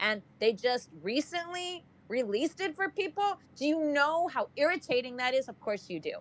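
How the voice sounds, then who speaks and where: A woman speaks loudly at a moderate pace in a high, animated voice that swings very widely in pitch. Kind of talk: casual group discussion. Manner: animated, loud.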